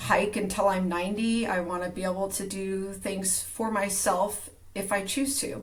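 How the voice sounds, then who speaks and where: Over noticeable background noise and audible room echo, a woman speaks at a medium pitch and a fairly slow pace. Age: 50s. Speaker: strength coach. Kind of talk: casual interview.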